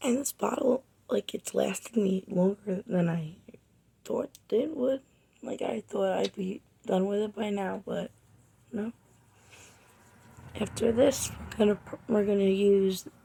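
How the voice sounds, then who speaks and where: Somewhat breathy, a woman talks at a fairly slow pace. She leaves long, frequent pauses. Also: medium pitch for a woman, ordinary pitch variation. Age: 20s. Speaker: makeup artist, beauty vlogger. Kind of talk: makeup tutorial and product review. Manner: casual, chatty.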